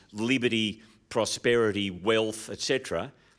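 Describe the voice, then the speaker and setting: Someone with an Australian accent speaks on a very clean recording with a silent background. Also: man. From Australia, Sydney. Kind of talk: interview. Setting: live recording before an audience.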